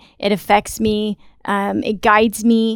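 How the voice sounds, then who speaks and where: A woman speaks in a Southern US accent. The sound is dry and close, with no echo. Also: very clean recording, silent background. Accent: Southern American. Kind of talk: casual interview. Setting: studio.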